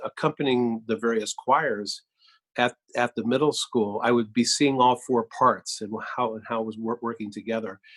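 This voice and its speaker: A man with an American accent talks at a fairly quick pace in a medium pitch. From US Midwest, Cedar Rapids, Iowa. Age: 60s. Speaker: composer. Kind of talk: interview. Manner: halting, many fillers.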